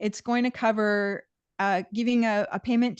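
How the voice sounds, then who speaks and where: The speech comes at a fairly slow pace, with a dry, close sound with no echo and a quiet background. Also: woman. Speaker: environmental nonprofit director presenting. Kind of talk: Q&A answers in a video meeting. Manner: hesitant, many fillers and restarts.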